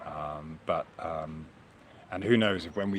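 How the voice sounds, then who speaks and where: A man speaks at a fairly slow pace. Noticeable background noise and audible room echo are present. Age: 50s. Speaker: flat earth video blogger. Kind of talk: solo monologue. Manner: halting, many repetitions and fillers; reflective, conversational.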